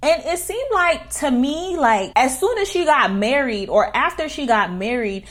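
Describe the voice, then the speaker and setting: A woman with a New York accent at a fairly slow pace, with very wide pitch swings over noticeable background noise. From New York City, Queens. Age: 20s. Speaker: YouTuber. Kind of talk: storytime. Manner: casual slangy.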